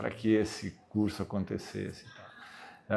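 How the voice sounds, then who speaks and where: With a dark, mellow tone and vocal fry, a man talks in a fairly low pitch. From southern Brazil, Caxias do Sul. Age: 60s. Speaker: retiring university professor. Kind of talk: interview. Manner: halting.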